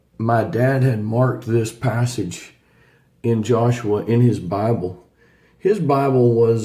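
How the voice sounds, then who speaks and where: In a Southern US accent, a man speaks at medium pitch and a fairly slow pace with fairly even intonation. His tone is dark, mellow and somewhat breathy. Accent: hillbilly pronunciation. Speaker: Bible teacher. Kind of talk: Bible study reading.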